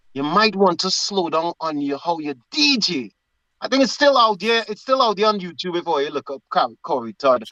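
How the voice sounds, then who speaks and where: A man with a high voice and a bright, sharp tone, his pitch swinging very widely. He talks at a moderate pace, and the sound is dry and close with no echo. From Trinidad. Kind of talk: casual chat.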